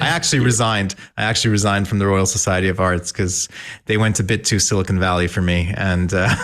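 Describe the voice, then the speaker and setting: Very deep and low in pitch, a man speaks at a very fast pace. His loudness is very even and his intonation fairly even. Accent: American. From Malaysia. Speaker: technologist, tech foundation founder. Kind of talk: podcast interview.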